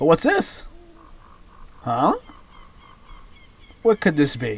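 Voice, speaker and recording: Moderate pace over music in the background. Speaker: let's play gamer. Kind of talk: game commentary. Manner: casual, rambling with self-corrections.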